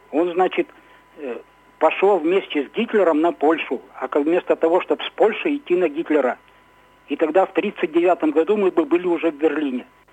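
A man with a high pitch speaks with long, frequent pauses in a dry, close sound with no echo, over noticeable background noise. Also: ordinary pitch variation, moderate pace. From Ukraine (Kirovohrad) until 6, then Izhevsk, Russia. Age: 60s. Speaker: radio caller. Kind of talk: phone-in opinion. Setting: phone call. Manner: halting.

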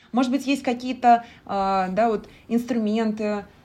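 A woman speaks with ordinary pitch variation. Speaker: podcast host. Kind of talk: interview. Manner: halting.

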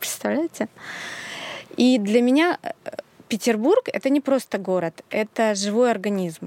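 With a dry, close sound and no echo, a woman at a fairly high pitch speaks at a fairly slow pace with lively intonation and long, frequent pauses. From Russia, outside Saint Petersburg. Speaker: sewing school founder and pattern designer. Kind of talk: casual chat.

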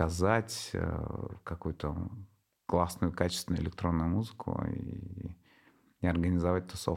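A man is speaking. His pitch is very deep and low. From Tatarstan, Russia (Nizhnekamsk). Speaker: club promoter and DJ collective head. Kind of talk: casual interview.

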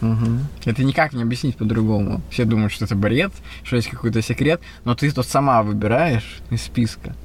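A man speaks at a moderate pace in a medium pitch, with vocal fry, ordinary pitch variation and very even loudness. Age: 30s. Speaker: podcast host, illusionist and entrepreneur. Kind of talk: casual chat.

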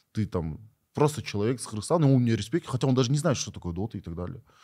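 On a very clean recording with a silent background, a man with a dark, mellow tone and fairly low pitch talks at a very fast pace. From Kyrgyzstan. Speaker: esports player. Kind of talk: interview.

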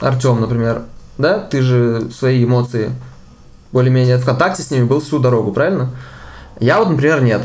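A man's medium-pitched voice at a moderate pace, with ordinary pitch variation and long, frequent pauses. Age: 20s. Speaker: cybersecurity specialist and podcast co-host. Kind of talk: casual chat.

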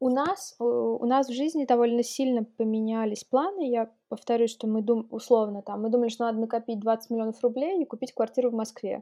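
Speaking fairly quickly, a woman uses an unremarkable speaking voice, fairly high in pitch, with ordinary pitch variation. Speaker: entrepreneur, consultant. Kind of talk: interview.

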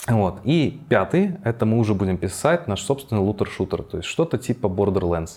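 This man has an unremarkable speaking voice, fairly low in pitch, with lively intonation at a moderate pace. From Belarus, Minsk. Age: 20s. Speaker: game developer. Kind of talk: interview.

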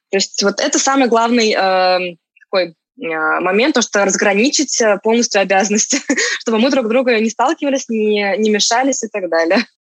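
At a moderate pace, a woman with a fairly high pitch speaks in very even loudness and ordinary pitch variation. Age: 30s. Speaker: marketplace seller, entrepreneur. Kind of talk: interview. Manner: halting, many fillers.

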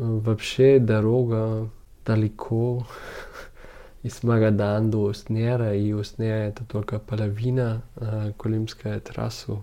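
A man with a German accent speaks very slowly in a fairly low, dark, mellow voice with monotone, flat intonation. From Germany, Munich. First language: German (speaking Russian). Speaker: documentary photographer. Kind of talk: interview. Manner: halting, with many fillers.

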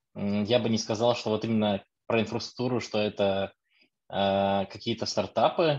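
An ordinary speaking voice over a quiet background. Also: man. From Lithuania. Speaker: DevOps engineer, audience member. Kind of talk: audience comment.

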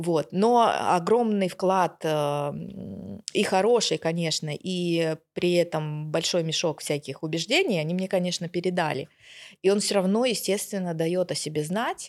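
A woman with an unremarkable speaking voice talks fairly slowly at a fairly low pitch on a very clean recording with a silent background. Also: ordinary pitch variation. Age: 40s. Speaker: sales expert. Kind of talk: casual chat.

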